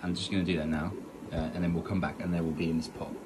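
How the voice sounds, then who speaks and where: Over noticeable background noise, a man talks in a very deep, low voice. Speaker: aquarium hobbyist vlogger. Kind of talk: casual vlog tutorial. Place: home room. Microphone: phone near.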